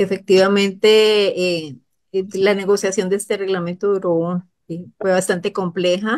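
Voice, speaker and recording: A woman speaks at a medium pitch with monotone, flat intonation. Her pace is fairly slow, and the background is quiet. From Costa Rica. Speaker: government official. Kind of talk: expert explanation on a radio program. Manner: halting. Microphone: video call.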